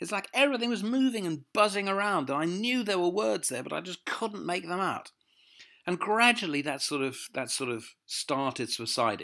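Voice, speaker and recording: Recorded very cleanly over a silent background, a man speaks with a southern English accent. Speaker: motivational speaker. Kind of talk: personal testimony. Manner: halting, repeats words.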